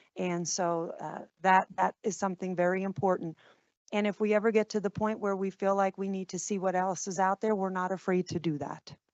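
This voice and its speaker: A woman with a New Jersey accent speaks at a moderate pace and medium pitch, her intonation monotone and flat. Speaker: school district administrator presenting to board. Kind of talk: board meeting presentation.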